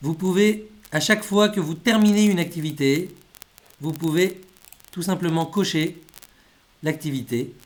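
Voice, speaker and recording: Delivery is fairly slow, broken by long, frequent pauses. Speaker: language school teacher. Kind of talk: tutorial.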